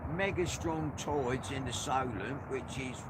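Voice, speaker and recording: A man's voice, with ordinary pitch variation and a moderate pace, is heard amid noticeable background noise and audible room echo. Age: 60s. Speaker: angler live-streaming from a boat. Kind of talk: casual live-stream chat. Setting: outdoors on a boat.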